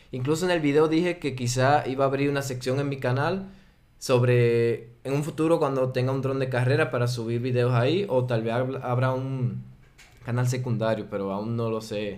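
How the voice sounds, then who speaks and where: A man with a Dominican accent, ordinary pitch variation and audible room echo. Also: medium pitch for a man, moderate pace. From Dominican Republic. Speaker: drone pilot and video creator. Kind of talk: casual interview chat.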